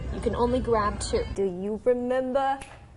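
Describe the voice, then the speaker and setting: A woman's high voice at a fairly slow pace, with music in the background. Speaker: morning news anchor and reporter. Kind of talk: TV news anchor and reporter delivery. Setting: TV studio morning show. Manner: upbeat, clear, professional.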